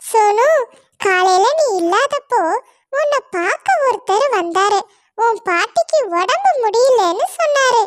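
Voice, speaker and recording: A female-sounding voice puts on a squeaky, cartoonish character voice at an extremely high pitch. The pace is very slow. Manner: whiny, sly.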